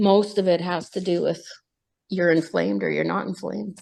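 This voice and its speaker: Over a quiet background, a woman at medium pitch talks at a moderate pace in a plain, everyday voice. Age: 60s. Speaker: support group member. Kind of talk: casual chat.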